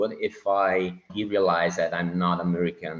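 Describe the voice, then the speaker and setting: This man's voice is very deep and low. He talks at a fairly slow pace. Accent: Italian. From Italy. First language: Italian. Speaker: Navy officer and land investor. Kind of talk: podcast interview. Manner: halting.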